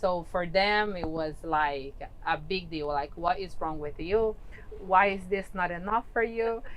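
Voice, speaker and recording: Over noticeable background noise, a woman talks at a fairly slow pace in a medium pitch with ordinary pitch variation. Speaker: real estate interviewer. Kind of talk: casual interview talk.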